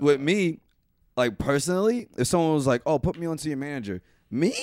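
Intonation rises and falls in a lively way in a plain, everyday voice. The recording is very clean, with a silent background. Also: man. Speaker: podcast host. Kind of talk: casual chat.

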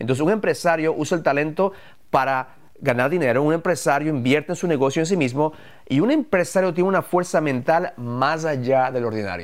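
It is a plain, everyday voice at a fairly quick pace with ordinary pitch variation. Loudness stays very even on a very clean recording with a silent background. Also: man, fairly high pitch for a man. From Ecuador, moved to the US at 11. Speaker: entrepreneur, podcast co-host. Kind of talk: live podcast talk about business.

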